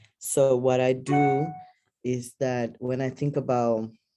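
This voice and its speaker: Someone with a Spanish accent speaks at a very slow pace. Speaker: academic and activist. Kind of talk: panel discussion. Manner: halting.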